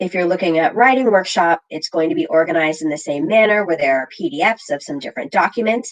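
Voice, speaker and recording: A woman has an unremarkable speaking voice, fairly low in pitch. Her pitch varies in an ordinary way. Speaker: literacy coach leading teacher training. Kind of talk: online training session.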